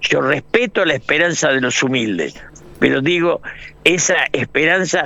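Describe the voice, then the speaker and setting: With ordinary pitch variation, a man talks at a fairly slow pace against noticeable background noise. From Argentina. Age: 80s+. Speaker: political analyst and writer. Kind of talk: radio interview.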